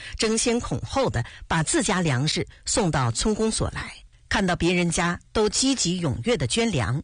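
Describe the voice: The speaker reads the text out. It is plain reading aloud.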